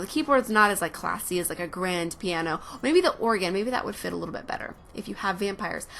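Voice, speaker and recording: Amid noticeable background noise, a woman talks at a very fast pace with an American accent. Her intonation is lively. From Oregon, US Pacific Northwest. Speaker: Sims game builder and video creator. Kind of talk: casual voiceover commentary over gameplay. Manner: chatty with frequent fillers.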